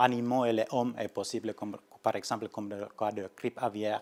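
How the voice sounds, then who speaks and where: On a very clean recording with a silent background and a dry, close sound with no echo, a man with a Nordic accent talks at a moderate pace in a medium pitch with monotone, flat intonation. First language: Finnish (speaking French). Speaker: research scientist. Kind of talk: lecture. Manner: halting, many hesitations and restarts.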